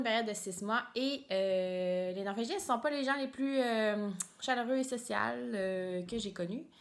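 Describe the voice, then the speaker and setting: At a moderate pace, a woman with a Quebec accent speaks in a fairly high voice with ordinary pitch variation. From Quebec, Mauricie near Trois-Rivières. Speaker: knitting podcaster, biologist. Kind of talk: casual vlog monologue. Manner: hesitant, many fillers and repetitions.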